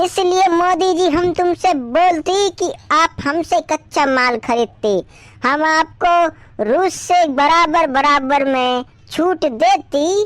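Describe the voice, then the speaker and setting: A squeaky, cartoonish character voice at a very slow pace, with ordinary pitch variation and very even loudness. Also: woman, extremely high pitch for a woman. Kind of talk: cartoon comedy. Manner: haggling, comic broken grammar.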